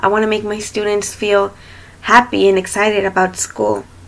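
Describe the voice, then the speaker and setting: In a Spanish accent, a woman speaks at a moderate pace with monotone, flat intonation. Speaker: student teacher. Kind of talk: self-introduction video. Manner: hesitant, many fillers.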